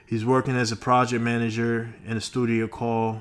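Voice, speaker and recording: Music plays behind a man speaking at a moderate pace. His medium-pitched voice has a monotone, flat intonation. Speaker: webtoon reviewer, channel owner. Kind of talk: casual review monologue. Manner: halting, many fillers and self-corrections.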